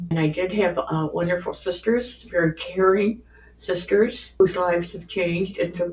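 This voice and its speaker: A woman's somewhat breathy voice at a fairly low pitch. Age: 80s+. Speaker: grandmother sharing life stories. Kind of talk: casual interview. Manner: halting.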